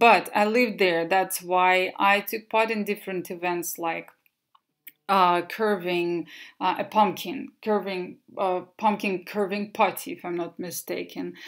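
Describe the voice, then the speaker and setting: With a Russian accent, a woman speaks at a fairly slow pace and medium pitch, her intonation fairly even, on a very clean recording with a silent background. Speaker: English teacher. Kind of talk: presentation. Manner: halting.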